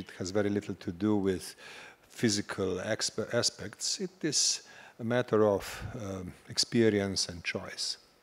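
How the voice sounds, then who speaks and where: A man with an unremarkable speaking voice, fairly low in pitch and fairly even in intonation, with big swings in loudness on a very clean recording against a silent background. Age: 60s. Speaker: panel speaker. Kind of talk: panel discussion.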